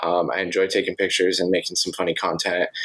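An American accent from a man, with noticeable background noise. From US West (Montana and Arizona). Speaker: podcast host. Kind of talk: casual interview chat.

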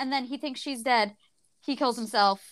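A woman with an ordinary speaking voice talks at a moderate pace in an American accent. Her pitch is fairly high with ordinary variation, on a very clean recording with a silent background. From United States. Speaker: book podcast co-host. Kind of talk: casual chat.

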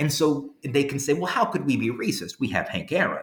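A man speaks over noticeable background noise. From Louisiana. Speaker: history professor and author. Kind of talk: interview.

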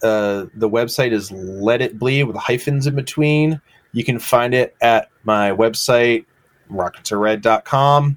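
A man with an American accent and a plain, everyday voice speaks at a fairly slow pace and medium pitch, with ordinary pitch variation, in a dry, close sound with no echo. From Massachusetts, rural. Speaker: graphic designer and illustrator. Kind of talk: casual interview. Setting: video call.

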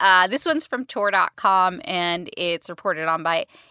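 In a very clean, dry, close recording with a silent background and no echo, a woman speaks at a fairly slow pace in a medium pitch with a bright, sharp tone and lively intonation. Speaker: podcast co-host. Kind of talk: casual podcast chat.

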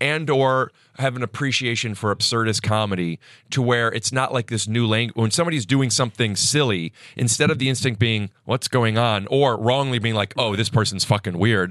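A man speaks with an American accent at a medium pitch and a moderate pace, with ordinary pitch variation and very even loudness. The sound is dry and close with no echo, over a quiet background. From US Midwest. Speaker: stand-up comedian and podcaster. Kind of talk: casual chat. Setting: studio.

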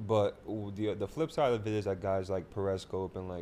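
A man with a fairly low pitch and a dark, mellow tone speaks with fairly even intonation. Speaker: podcast co-host. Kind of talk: casual chat.

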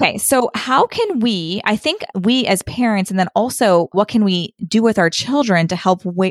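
A woman speaks in a plain, everyday voice at medium pitch and a moderate pace. Her pitch varies in an ordinary way, and the sound is dry and close with no echo. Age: 30s. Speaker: podcast host. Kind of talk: interview.

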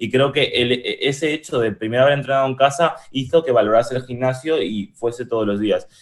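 Talking at a fairly quick pace with hardly any pauses, a man uses a medium pitch and ordinary pitch variation. It is an unremarkable speaking voice. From Spain, moved from Uruguay at age 6. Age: 20s. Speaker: e-commerce entrepreneur. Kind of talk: casual interview chat.

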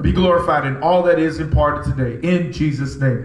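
A man talks in an animated tone with a fairly high pitch. There is noticeable background noise. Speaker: preacher. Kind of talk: sermon. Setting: church with live congregation. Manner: animated, call-and-response, rhythmic preaching that urges the congregation to shout; emphatic, repeating key lines for impact.

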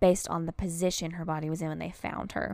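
Upbeat in tone, a woman speaks in a fairly low pitch on a very clean recording with a silent background. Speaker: true crime podcast host. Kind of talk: true-crime narration. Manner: measured, storytelling cadence with grim emphasis; conversational, upbeat, chatty in intro.

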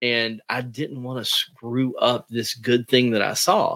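A man talks in an unremarkable speaking voice. His pitch is medium and his pace moderate. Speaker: comic writer and creator. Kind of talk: casual interview chat.

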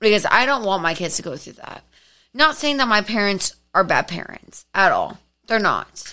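With a bright, sharp tone and an animated, energetic delivery, a woman with a fairly high pitch talks at a moderate pace, her pitch swinging very widely and her loudness shifting a lot, on a very clean recording with a silent background. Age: 20s. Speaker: podcast guest. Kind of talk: casual chat, storytelling. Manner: animated, energetic, laughs often.

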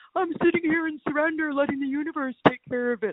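This is a put-on character voice pitched high. It races along at a very fast pace. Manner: mocking, breezy, smug.

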